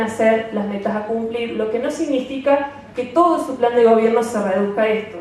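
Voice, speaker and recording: Noticeable background noise and audible room echo surround a woman speaking at a fairly slow pace in a fairly high pitch with fairly even intonation. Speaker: NGO representative. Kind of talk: conference talk. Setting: seminar stage with audience. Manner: hesitant with fillers.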